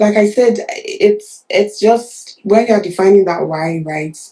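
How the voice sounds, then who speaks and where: The voice carries a Nigerian accent, a dark, mellow tone and fairly even intonation. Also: woman. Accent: Nigerian accent, unchanged. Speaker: nurse turned product manager. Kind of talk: interview. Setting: livestream. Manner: halting, many fillers.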